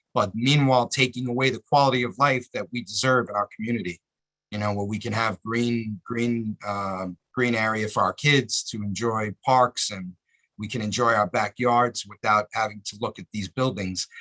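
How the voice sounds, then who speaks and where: A man's medium-pitched voice with a bright, sharp tone and fairly even intonation comes through in a dry, close recording with no echo. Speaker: community activist. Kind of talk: public comment at a meeting. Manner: fast.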